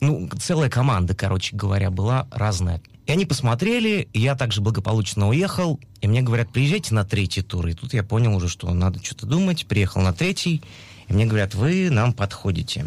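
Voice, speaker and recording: Somewhat breathy, a man with a medium-pitched voice talks at a fairly quick pace, his pitch swinging very widely. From Russia, Urals. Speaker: musical theatre actor. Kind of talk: interview. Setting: studio.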